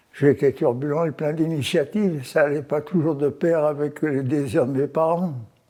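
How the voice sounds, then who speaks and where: A man with a dark, mellow tone and fairly high pitch. His intonation stays fairly even, with hardly any pauses. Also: moderate pace. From France, Auvergne (Haute-Loire, Limagne). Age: 90s. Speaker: elderly interviewee recounting life story. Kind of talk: life-story interview. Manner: halting, with frequent repetitions and hesitations.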